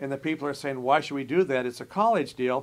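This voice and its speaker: Speaking at a very fast pace in an American accent, a man uses lively intonation and a fairly high pitch. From Nebraska, US Midwest. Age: 60s. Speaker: college administrator. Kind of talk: interview.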